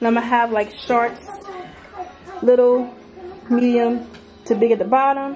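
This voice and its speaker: A woman speaks in a high pitch over noticeable background noise. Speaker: mom vlogger. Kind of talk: casual vlog chat. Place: home room. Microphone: phone near.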